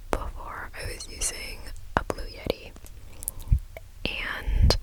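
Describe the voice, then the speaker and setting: Over noticeable background noise, someone is whispering at a very slow pace. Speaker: ASMR creator. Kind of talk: casual talk to camera. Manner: slow, gentle.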